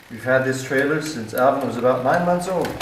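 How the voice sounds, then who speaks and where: Noticeable background noise accompanies a man's voice. He keeps a moderate pace and fairly even intonation. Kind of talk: casual vlog chat. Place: garage. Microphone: helmet.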